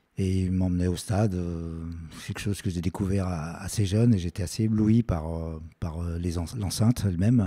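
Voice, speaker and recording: This man has a very deep, low pitch and a dark, mellow tone. He talks at a moderate pace with fairly even intonation. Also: very clean recording, silent background. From France, Lyon. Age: 60s. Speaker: stadium announcer. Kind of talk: interview. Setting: his art studio. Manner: halting, many hesitations.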